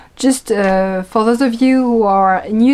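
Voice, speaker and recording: Speaking with a strong French accent, a woman talks at a medium pitch with ordinary pitch variation. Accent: thick French. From France. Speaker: knitting and yarn-dyeing podcast host. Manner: casual, frequent hesitation fillers.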